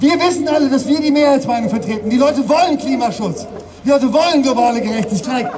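There is noticeable background noise behind a man whose voice sits at an extremely high pitch. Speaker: climate activist speaker. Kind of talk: protest rally speech. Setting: outdoors at demonstration. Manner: emotional, passionate. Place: street. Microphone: pa.

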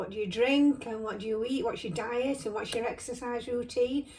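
A woman talks at a high pitch with fairly even intonation. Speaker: beauty vlogger. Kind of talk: casual vlog chat. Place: home room. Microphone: phone near.

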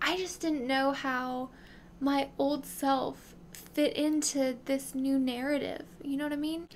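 Over light background noise, a woman with an American accent speaks at a very slow pace. Her pitch is high and her intonation fairly even. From US South, South Carolina. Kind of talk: devotional talk. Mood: earnest, reflective. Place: home room. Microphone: studio mic.

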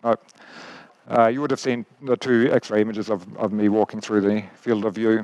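Speaking in a fairly low pitch at a moderate pace, a man keeps a monotone, flat intonation in a dry sound with no echo. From Australia. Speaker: biomechanics professor. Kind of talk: lecture. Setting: stage with audience. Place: stage. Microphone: headset.

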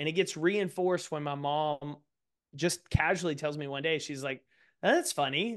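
Fairly quick pace from a man with a fairly high pitch and ordinary pitch variation, against a quiet background. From East Texas. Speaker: author and speaker; speaker. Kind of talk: interview conversation. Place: home room. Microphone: studio mic.

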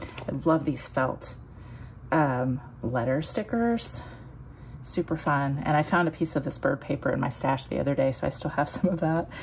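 With ordinary pitch variation, the woman speaks in a very deep, low pitch. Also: moderate pace. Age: 40s. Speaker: scrapbooking YouTuber. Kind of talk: casual album flip-through tutorial. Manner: hesitant with many ums; laughs often.

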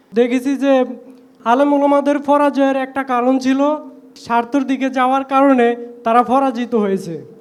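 Over noticeable background noise, a man talks at an extremely high pitch with fairly even intonation. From Bangladesh, Bhola. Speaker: audience member asking a question. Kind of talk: question from the audience.

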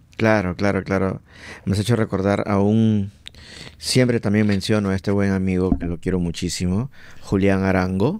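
A man's fairly low voice at a moderate pace, with fairly even intonation and a dry sound with no echo. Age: 40s. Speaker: podcast host. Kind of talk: casual chat. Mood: relaxed, friendly. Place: studio. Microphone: studio mic.

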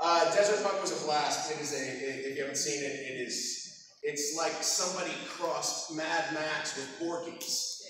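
This man talks at a moderate pace with fairly high pitch and ordinary pitch variation. There is strong room echo and light background noise. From Texas. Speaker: voice actor. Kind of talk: convention panel talk with audience. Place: hall. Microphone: camera far.

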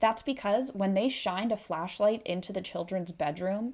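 Against a quiet background, a woman talks with a Canadian accent. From Canada. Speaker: true crime YouTuber. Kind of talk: true-crime narration, retelling a grisly case in a serious, storytelling tone. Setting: solo video recording. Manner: conversational and casual, with a steady, sombre pace during the gruesome parts. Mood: serious, somber. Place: home room. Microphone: studio mic.

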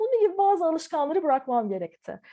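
Background music accompanies a woman as she talks. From Turkey (Ankara), partly Taiwan. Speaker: visual artist. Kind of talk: interview. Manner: hesitant, many filler sounds.

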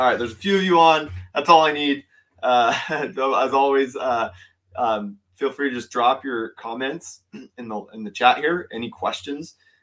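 Against a quiet background, a man speaks at a moderate pace with ordinary pitch variation and big swings in loudness. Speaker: fishing channel host. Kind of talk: live stream commentary. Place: home room.

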